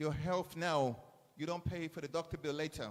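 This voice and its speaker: A man with an English accent and ordinary pitch variation. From England. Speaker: chef. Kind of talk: speech to school students at event. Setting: school event audience. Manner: animated.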